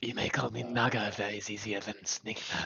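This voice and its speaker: The speaker uses a raspy, put-on character voice at a fairly quick pace. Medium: actual play. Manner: formal.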